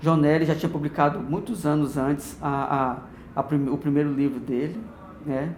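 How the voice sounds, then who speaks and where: Noticeable background noise and audible room echo surround a man with a fairly high pitch speaking at a moderate pace. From Minas Gerais, Brazil. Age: 40s. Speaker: oral history interviewee. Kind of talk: oral history interview. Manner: halting.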